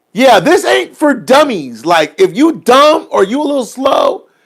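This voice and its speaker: Shouting in an extremely high pitch, a man sounds animated, his intonation lively. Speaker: livestream host on currency investing. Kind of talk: casual livestream chat. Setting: live stream. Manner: loud, hollering.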